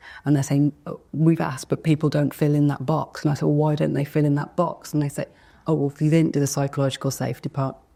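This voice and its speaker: Talking very fast in a Birmingham accent, a woman has a very deep, low pitch, a dark, mellow tone and a monotone, flat delivery. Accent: Birmingham (Brummie) English. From England, Birmingham (Handsworth). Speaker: inclusion speaker. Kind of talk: fireside chat on stage. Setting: stage with audience.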